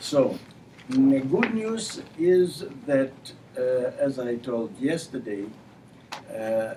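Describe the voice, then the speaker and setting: A man in a Ukrainian accent, fairly high-pitched, at a very slow pace with long, frequent pauses and very wide pitch swings, amid audible room echo and noticeable background noise. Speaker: university administrator and human rights figure. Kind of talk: lecture. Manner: halting.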